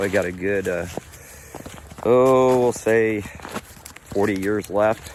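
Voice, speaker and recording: Noticeable background noise sits behind a man with a fairly low pitch. He speaks at a very slow pace with fairly even intonation and long, frequent pauses. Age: 60s. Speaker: farmer and channel owner. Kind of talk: casual vlog talk. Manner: halting with fillers.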